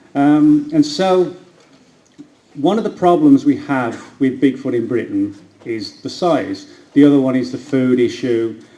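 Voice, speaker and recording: Audible room echo surrounds a man speaking with an American accent. He moves at a fairly slow pace. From England, Birmingham. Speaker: cryptozoologist and author. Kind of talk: lecture. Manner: hesitant, with frequent fillers.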